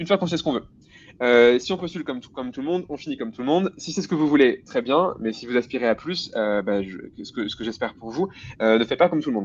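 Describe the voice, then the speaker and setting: A man's medium-pitched, energetic voice at a very fast pace, with lively intonation and big swings in loudness over a quiet background. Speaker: guest speaker on tech careers. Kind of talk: webinar talk.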